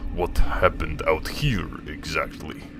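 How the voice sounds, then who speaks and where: A man puts on a character voice at a fairly slow pace. Background noise can be clearly heard. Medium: actual play. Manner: stern, pressing.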